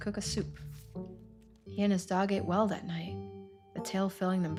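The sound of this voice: The speaker uses an unforced reading voice. The clip holds to it from start to finish.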